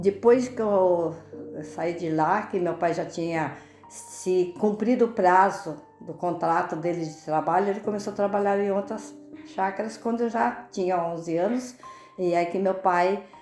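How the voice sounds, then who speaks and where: A woman at a medium pitch, fairly slow and with ordinary pitch variation, over music in the background and audible room echo. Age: 80s+. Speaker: retiree. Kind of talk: interview testimony.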